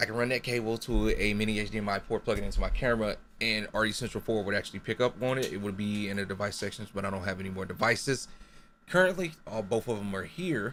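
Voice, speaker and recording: At a very fast pace, a man talks in a fairly low voice with ordinary pitch variation over light background noise. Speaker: gaming streamer; gamer explaining capture setup. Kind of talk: tutorial. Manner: stutters, self-correcting.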